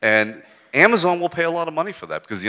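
Over a quiet background, a man talks at a very fast pace with very wide pitch swings and a bright, sharp tone. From United States. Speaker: advertising executive; speaker. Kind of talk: on-stage interview. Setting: stage with audience. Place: stage. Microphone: handheld.

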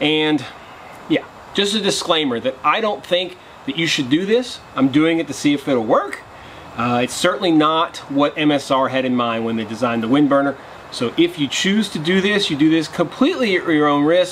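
A man talks at a moderate pace with lively intonation. Light background noise is present. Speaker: outdoor cooking vlogger. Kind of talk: casual vlog chat. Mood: earnest safety disclaimer. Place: garden. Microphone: camera far.

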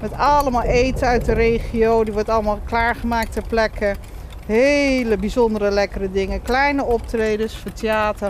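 A woman with an unremarkable speaking voice talks at a moderate pace in a fairly high pitch with fairly even intonation, the sound dry with no echo and light background noise. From Netherlands, Rotterdam then Nijmegen area; Netherlands. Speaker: festival director; guest. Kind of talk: casual chat. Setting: outdoors under a bridge. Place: waterside.

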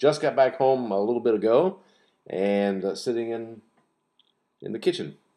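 Against a quiet background, a dark, mellow tone comes through at a moderate pace. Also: man. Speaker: pipe hobbyist vlogger. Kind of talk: casual vlog chat. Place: kitchen. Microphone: webcam.

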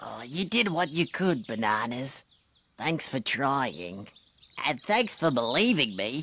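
A man does a cartoonish character voice. He speaks at a fairly slow pace. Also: medium pitch for a man. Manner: worried, pleading.

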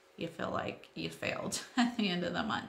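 Light background noise sits under speech at a moderate pace, with audible echo from the room. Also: woman. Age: 40s. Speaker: YouTuber, homeschool mom; vlogger. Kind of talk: vlog monologue. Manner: casual, hesitant with fillers. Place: home room. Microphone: phone near.

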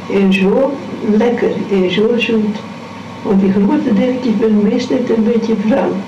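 A woman's fairly high voice at a very slow pace, with fairly even intonation over noticeable background noise. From Wieringen. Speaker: grandmother telling memories. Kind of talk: interview answer. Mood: warm, fond reminiscing. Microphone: old recording.

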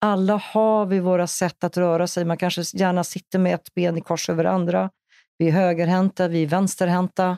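The voice has a dark, mellow tone and a monotone, flat intonation at a moderate pace. Loudness stays very even on a very clean recording with a silent background. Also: woman, fairly low pitch for a woman, dry, close sound with no echo. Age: 60s. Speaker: massage therapist and movement instructor. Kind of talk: interview. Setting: studio.

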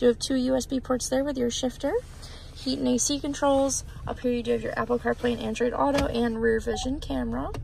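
Noticeable background noise in a dry sound with no echo, and a woman speaking at a fairly quick pace. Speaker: car salesperson. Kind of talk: vehicle walkaround tour. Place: car. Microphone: phone near.

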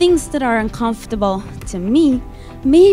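Faint music plays in the background as a woman speaks at a fairly slow pace. Her pitch swings very widely. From Venezuela. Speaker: motivational speaker. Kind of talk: motivational keynote speech.

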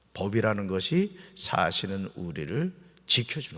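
The voice has vocal fry and very wide pitch swings, on a very clean recording with a silent background. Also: man. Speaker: pastor. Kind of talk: sermon. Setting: church. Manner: conversational, explanatory.

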